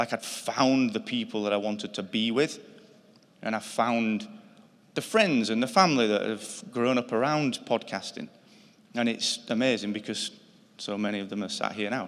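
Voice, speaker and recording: Speaking at a moderate pace, a man with a Yorkshire accent keeps a medium pitch and ordinary pitch variation. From northern England, Yorkshire. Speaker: podcast company founder, award inductee. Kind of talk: acceptance speech.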